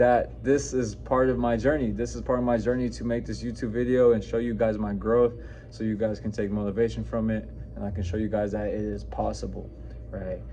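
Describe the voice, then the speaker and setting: A man with an American accent at a moderate pace, with audible room echo. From New Mexico, US. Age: 20s. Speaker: fitness coach. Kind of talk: personal story vlog. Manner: casual, halting with fillers.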